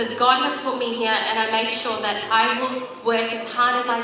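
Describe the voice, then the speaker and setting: Over noticeable background noise and audible room echo, a woman with a non-native accent talks fairly quickly at a fairly high pitch. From Sri Lanka. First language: not English. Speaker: politician. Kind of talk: public speech. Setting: stage at community religious event.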